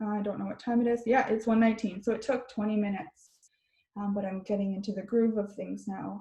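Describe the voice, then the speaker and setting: Dark and mellow in tone and somewhat breathy, the voice moves at a fairly quick pace with a Canadian accent and fairly even intonation. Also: woman. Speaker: therapist. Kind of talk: webinar talk.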